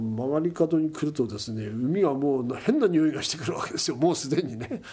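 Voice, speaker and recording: Against noticeable background noise, a man talks at a fairly high pitch with ordinary pitch variation and hardly any pauses. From Kesennuma, Miyagi (Tohoku, Japan). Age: 70s. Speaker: oyster fisherman and environmental NPO head. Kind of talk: interview.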